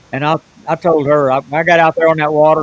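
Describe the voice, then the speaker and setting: Over noticeable background noise, a man with a Southern US accent talks at a fairly quick pace and fairly high pitch, with a dry, close sound and no echo. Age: 70s. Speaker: professional bass fisherman. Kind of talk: podcast interview storytelling.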